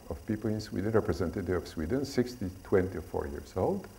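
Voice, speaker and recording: A man with a non-native accent and a dark, mellow tone, fairly low in pitch, with lively intonation and audible room echo. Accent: foreign. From Poland. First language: Polish. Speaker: stress researcher. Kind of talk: lecture. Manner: slow; halting.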